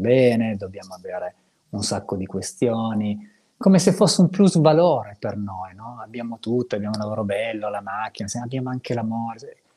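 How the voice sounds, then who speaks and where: A man speaks at a fairly quick pace with a dark, mellow tone and lively intonation. The recording is very clean, with a silent background. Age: 50s. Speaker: psychotherapist and co-host. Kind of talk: casual chat.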